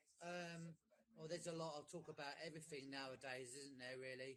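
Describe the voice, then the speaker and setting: A man with an English accent, moderate in pace, with fairly even intonation. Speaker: caller. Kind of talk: casual chat. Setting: live audio stream call. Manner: halting.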